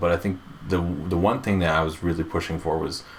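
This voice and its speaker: A man mumbles at a very fast pace in a very deep, low pitch. His intonation stays fairly even over noticeable background noise. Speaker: game producer and podcast co-host. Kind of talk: casual chat. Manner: mumbling.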